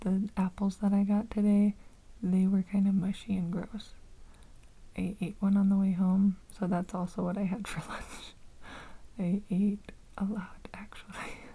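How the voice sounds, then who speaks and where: Soft-spoken and somewhat breathy, a woman talks at a fairly slow pace and medium pitch in a dark, mellow tone, with flat, monotone intonation and long, frequent pauses. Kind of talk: ASMR unscripted ramble, casual talk to camera.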